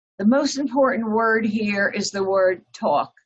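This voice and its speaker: A woman talks fairly slowly, her fairly high voice somewhat breathy and her pitch varying in an ordinary way. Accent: New Jersey. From New Jersey. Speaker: author giving a talk. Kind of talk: presentation. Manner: hesitant, many fillers.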